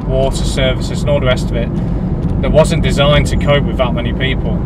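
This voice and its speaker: A dry sound with no echo amid loud background noise. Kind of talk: casual vlog chat. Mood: frustrated, complaining. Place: car. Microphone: phone near.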